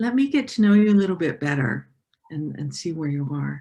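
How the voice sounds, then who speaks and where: A woman speaks with a dark, mellow tone, somewhat breathy, and her pitch swings very widely. The background is quiet. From Southeast Asia and international, Dutch. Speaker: coach. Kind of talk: interview.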